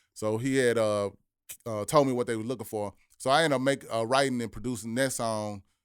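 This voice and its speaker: A man with an ordinary speaking voice and an American accent talks at a fairly quick pace and medium pitch. His intonation is fairly even, and the recording is very clean with a silent background. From Memphis, Tennessee, US South. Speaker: rapper and producer. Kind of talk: podcast interview.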